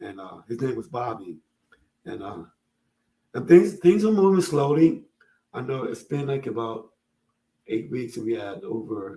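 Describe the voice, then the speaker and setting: This man's medium-pitched voice, dark and mellow in tone and somewhat breathy, moves through very wide pitch swings and big swings in loudness, broken by long, frequent pauses. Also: moderate pace. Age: 70s. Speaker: father and social media creator on fatherhood. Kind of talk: casual interview chat.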